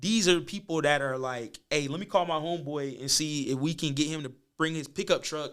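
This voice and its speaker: This man talks at a fairly quick pace in an American accent, his pitch fairly high with ordinary variation. The recording is very clean, with a silent background. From US South, Birmingham, Alabama. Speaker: filmmaker. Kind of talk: casual podcast interview. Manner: animated.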